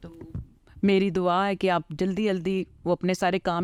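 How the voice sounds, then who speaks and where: On a very clean recording with a silent background and a dry, close sound with no echo, a woman speaks at medium pitch in a monotone, flat intonation. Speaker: interviewer / show host. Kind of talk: interview questions, casual talk.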